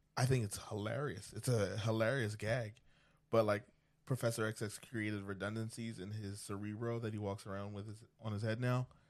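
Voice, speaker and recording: At a fairly quick pace, a man with an American accent speaks in a normal speaking voice, fairly low in pitch with fairly even intonation, against a quiet background. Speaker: podcast co-host. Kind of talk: casual banter discussion.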